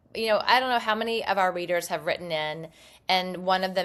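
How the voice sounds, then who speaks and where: In an American accent, a woman with a plain, everyday voice speaks at a fairly quick pace, her fairly low pitch showing ordinary variation, on a very clean recording with a silent background. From US South, Mobile, Alabama. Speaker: podcast co-host, daughter-in-law. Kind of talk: casual chat.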